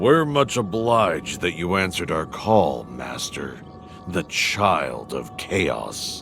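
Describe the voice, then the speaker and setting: Over clear background music, a man in a put-on character voice speaks at a fairly slow pace with a very deep, low pitch and very wide pitch swings. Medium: machinima. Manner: grave, measured.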